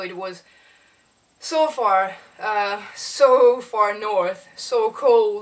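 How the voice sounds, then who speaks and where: A woman speaks in a French accent. Her pitch variation is ordinary. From South of France. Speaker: animator. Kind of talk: casual vlog monologue. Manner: halting, many fillers and repetitions.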